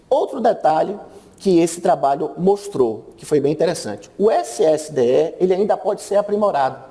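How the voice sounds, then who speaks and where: Lively intonation carries along at a moderate pace over noticeable background noise. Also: man, high pitch for a man. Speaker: radiology lecturer. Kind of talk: conference talk.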